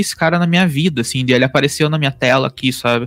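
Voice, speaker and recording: The recording of a man with ordinary pitch variation has a dry, close sound with no echo. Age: 30s. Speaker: podcast host, digital marketer. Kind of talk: casual chat. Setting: home office. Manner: halting.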